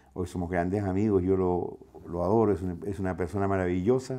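Against a quiet background, a man talks at a fairly quick pace. His voice is fairly low, with a dark, mellow tone. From southern Chile (Valdivia); Chile. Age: 50s. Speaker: radio broadcaster. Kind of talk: personal testimony interview. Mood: warm, reflective. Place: home room.

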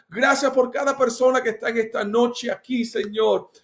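A man's extremely high voice with an animated, warm tone and ordinary pitch variation, against a quiet background. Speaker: pastor leading online church service. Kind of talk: fervent prayer, worship exclamations, rising intensity; casual greeting chat with viewers. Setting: live stream on Instagram and Facebook. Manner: passionate, repetitive, emphatic; animated, warm, code-switching English and Spanish. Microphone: phone near.

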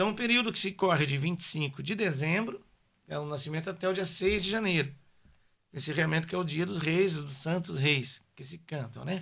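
A man's fairly high, bright and sharp voice with ordinary pitch variation, at a moderate pace against a quiet background. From São Paulo, Brazil (born in Paraná); São Paulo, Brazil. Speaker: musician; podcast guest. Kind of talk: casual interview chat. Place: studio. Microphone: studio mic.

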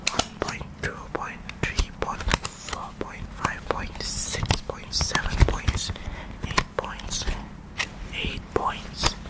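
Loud background noise fills the recording. A soft-spoken man talks at a very slow pace. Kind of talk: casual vlog chat. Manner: soft close-mic ASMR speech. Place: home room. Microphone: studio mic.

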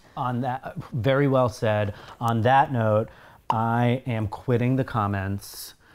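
A man takes a very slow pace, his intonation fairly even throughout. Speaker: co-host of a TV reaction series. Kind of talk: casual chat. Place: home room.

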